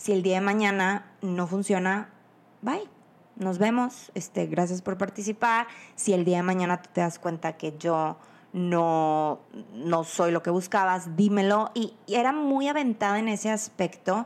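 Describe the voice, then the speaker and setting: A woman with a medium-pitched voice speaks fairly slowly in an animated tone with ordinary pitch variation, on a very clean recording with a silent background. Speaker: podcast host. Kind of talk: casual chat.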